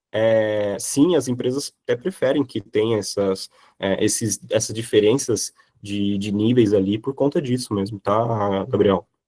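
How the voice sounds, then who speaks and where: A man speaks at a medium pitch with ordinary pitch variation and a dark, mellow tone. The pace is fairly slow, and the sound is dry and close with no echo. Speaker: software professional giving career talk. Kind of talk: online class talk with Q&A. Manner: hesitant, many fillers.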